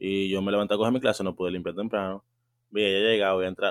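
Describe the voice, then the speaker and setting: This man talks at a very fast pace. His pitch sits fairly low. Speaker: podcast host, university student. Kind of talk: casual chat. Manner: animated.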